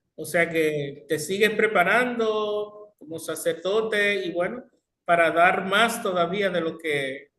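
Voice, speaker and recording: This man's voice is high-pitched, with a bright, sharp tone. His pitch varies in an ordinary way. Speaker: radio host. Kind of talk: radio interview.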